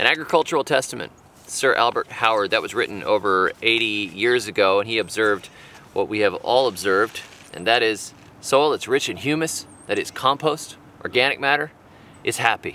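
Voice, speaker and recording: A man at a fairly quick pace, ordinary pitch variation, dry sound with no echo. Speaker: gardening channel host. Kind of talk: reading aloud then tutorial talk. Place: garden.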